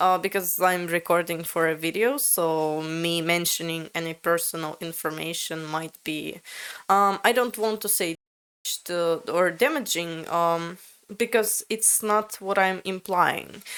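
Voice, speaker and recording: A woman with a Latvian accent at a fairly slow pace, ordinary pitch variation, in a very clean recording with a silent background. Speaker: language learner, video creator. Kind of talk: casual conversation with AI chatbot. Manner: halting, many fillers.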